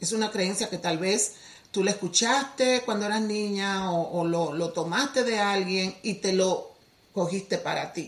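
An unremarkable speaking voice from a woman with a medium pitch, ordinary pitch variation, and a fairly slow pace. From Dominican Republic. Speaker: teacher and healing coach. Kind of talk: podcast interview.

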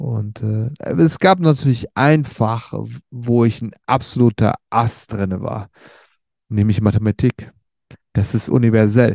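Speaking at a very slow pace, a man with a medium pitch is heard against a quiet background with a dry, close sound and no echo. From Germany, Sauerland region (Werdohl/Lüdenscheid). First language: Turkish (speaking German). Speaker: podcaster telling his life story. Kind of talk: personal storytelling monologue. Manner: hesitant, many fillers and repetitions.

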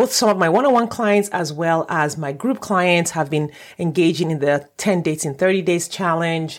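A woman at fairly low pitch talks at a fairly quick pace with ordinary pitch variation, recorded very cleanly against a silent background. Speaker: dating coach. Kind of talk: podcast intro. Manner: fast.

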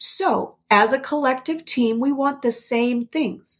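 The woman's voice is somewhat breathy. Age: 40s. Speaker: parenting podcast host. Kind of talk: personal monologue. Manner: conversational.

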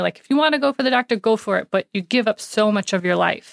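A woman with an American accent speaks at a fairly quick pace in a plain, everyday voice, medium in pitch with ordinary variation. The recording is very clean, with a silent background and a dry, close sound with no echo. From New York City. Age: 30s. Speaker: paramedic and cancer patient. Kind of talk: interview conversation.

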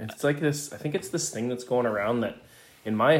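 A man talking at a very fast pace. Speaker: podcast host. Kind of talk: casual chat.

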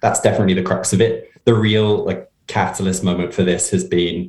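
A man talks at a moderate pace with fairly even intonation. His voice is somewhat breathy. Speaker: progressive campaign practitioner. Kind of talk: casual interview.

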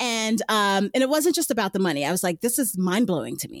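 In a Brooklyn accent, a woman talks at a very fast pace with very wide pitch swings, on a very clean recording with a silent background. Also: dry, close sound with no echo. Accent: New York (Brooklyn). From New York City, Brooklyn. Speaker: runner and former teacher. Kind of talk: interview conversation.

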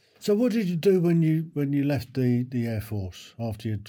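A man's somewhat breathy voice with a dark, mellow tone, lively intonation and a fairly quick pace. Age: 60s. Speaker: podcast host. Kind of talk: interview. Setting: video call.

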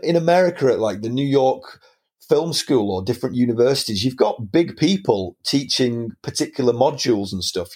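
A man with a Lancashire accent speaks in a lively intonation. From northern England, Preston, Lancashire. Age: 30s. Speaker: film teacher and aspiring filmmaker. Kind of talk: casual interview chat.

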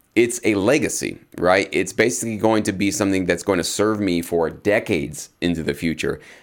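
An unremarkable speaking voice from a man, fairly low in pitch, at a fairly quick pace with hardly any pauses and ordinary pitch variation. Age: 30s. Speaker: music producer and podcast host. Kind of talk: solo podcast monologue. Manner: casual with many filler words.

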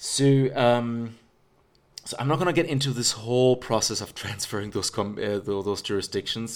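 Using a plain, everyday voice, a man keeps a moderate pace. His pitch is medium, with ordinary pitch variation. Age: 40s. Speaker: podcast host. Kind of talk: casual chat.

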